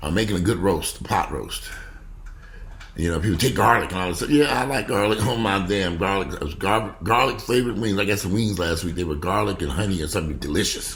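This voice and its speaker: A man with a fairly low pitch talks very fast in an animated tone with lively intonation. Audible room echo and noticeable background noise surround him. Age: 50s. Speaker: vlogger. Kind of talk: casual vlog monologue.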